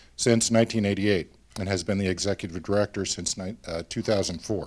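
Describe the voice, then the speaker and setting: A man talks at a fairly quick pace with an Oregon accent. His pitch is fairly low and his intonation fairly even. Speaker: nonprofit board officer. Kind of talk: award presentation speech.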